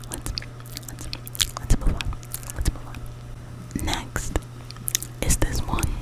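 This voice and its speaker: A woman's whisper at a fairly slow pace, broken by long, frequent pauses, over noticeable background noise. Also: big swings in loudness. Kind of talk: ASMR whisper talk showing paintings. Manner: whispered, repetitive triggery repetition.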